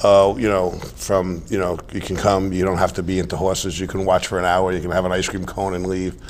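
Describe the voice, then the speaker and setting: In a New York accent, a man speaks with a very deep, low pitch and monotone, flat intonation. Audible room echo and noticeable background noise surround his voice. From New York, Staten Island. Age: 60s. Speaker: retired financier, horse show president. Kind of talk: interview.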